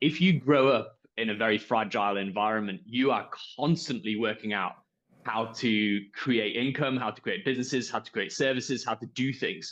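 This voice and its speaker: With a Yorkshire accent, a man speaks at a medium pitch and a moderate pace. His pitch varies in an ordinary way. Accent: Yorkshire accent, noticeable. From northern England, Yorkshire. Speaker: entrepreneur, company founder. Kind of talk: panel discussion.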